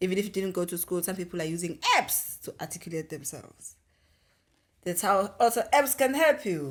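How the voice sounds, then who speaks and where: A woman with a South African accent talks fairly quickly at a medium pitch, with very wide pitch swings and big swings in loudness. The recording is very clean, with a silent background. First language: isiZulu. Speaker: podcast co-host. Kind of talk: casual podcast discussion.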